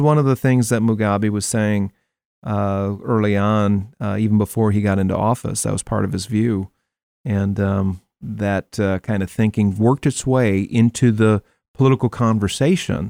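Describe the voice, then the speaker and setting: With an American accent and a dark, mellow tone, the speaker keeps a moderate pace and fairly even intonation on a very clean recording with a silent background and a dry, close sound with no echo. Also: man. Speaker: radio host. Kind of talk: interview conversation. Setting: studio.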